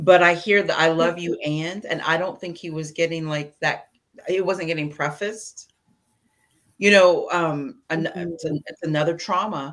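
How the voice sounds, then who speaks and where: A woman with an American accent, a normal speaking voice, fairly low pitch, fairly even intonation, and a moderate pace. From US Midwest (Indiana). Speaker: parent guest. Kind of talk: casual chat.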